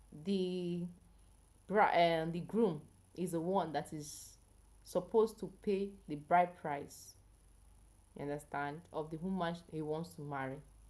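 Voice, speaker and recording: Speaking at a fairly slow pace with long, frequent pauses, a woman with a fairly low pitch and a dark, mellow tone keeps her intonation fairly even while her loudness swings widely. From Nigeria. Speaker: health educator, live streamer. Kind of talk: live stream chat with viewers. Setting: live stream.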